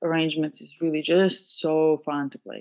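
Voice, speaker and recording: A woman with a Georgian accent and a fairly low voice. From Georgia (country). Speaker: pianist and composer. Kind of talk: casual interview. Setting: video call.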